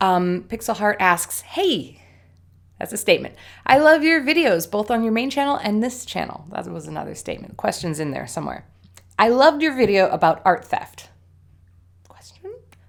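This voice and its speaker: A woman with an animated tone and vocal fry speaks at a fairly quick pace and medium pitch, her voice making very wide pitch swings in a very clean recording with a silent background. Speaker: art YouTuber. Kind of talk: casual vlog chat.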